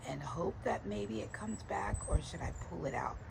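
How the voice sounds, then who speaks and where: Noticeable noise fills the background. Speech moves at a moderate pace. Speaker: gardening vlogger. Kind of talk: casual garden tour vlog. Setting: outdoors in garden.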